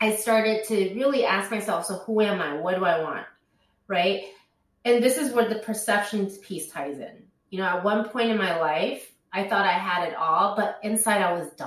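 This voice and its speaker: A woman's voice, with ordinary pitch variation, carries audible room echo. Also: medium pitch for a woman, moderate pace. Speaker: life coach, company founder. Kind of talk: interview conversation.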